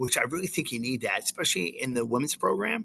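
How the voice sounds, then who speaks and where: The man talks at a fairly quick pace. His sound is dry and close, with no echo. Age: 60s. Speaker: college soccer coach and school teacher. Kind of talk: interview. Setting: remote interview from outside a classroom. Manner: halting, many repeated words.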